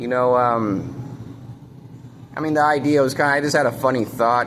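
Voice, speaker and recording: Noticeable background noise and audible room echo surround the speech. A man talks with fairly even intonation. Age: 30s. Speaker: vlogger. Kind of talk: casual monologue to camera. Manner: halting, many fillers.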